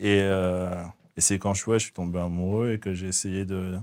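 A very deep, low male voice with a dark, mellow tone on a very clean recording with a silent background. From southern France, raised from age 4 (born in the Netherlands). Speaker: faith testimony guest. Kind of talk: testimony interview. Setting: hair salon set. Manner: halting, frequent repetitions.

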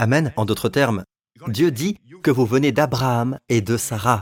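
In a very clean recording with a silent background and a dry, close sound with no echo, a man of medium pitch talks at a moderate pace with ordinary pitch variation. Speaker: preacher. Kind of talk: sermon. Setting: church. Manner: animated, fervent, with rhythmic call-and-response 'Amen' and 'Alléluia'; teaching, expository, emphatic repetition of key phrases.

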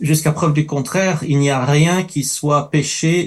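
Speaking with a non-native accent, a man uses a fairly high pitch, a fairly slow pace, fairly even intonation and a somewhat breathy sound. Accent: noticeable foreign. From Middle East. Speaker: writer and campus ministry worker. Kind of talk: panel discussion.

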